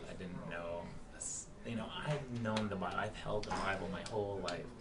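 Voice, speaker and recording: Soft-spoken and fairly low in pitch, a man talks at a moderate pace against noticeable background noise. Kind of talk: interview answer, personal faith testimony.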